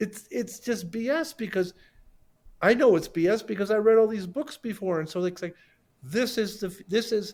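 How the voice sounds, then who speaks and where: Ordinary pitch variation at a moderate pace. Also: man, high pitch for a man. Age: 60s. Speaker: sculptor. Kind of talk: casual chat. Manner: halting, many repeated words; animated.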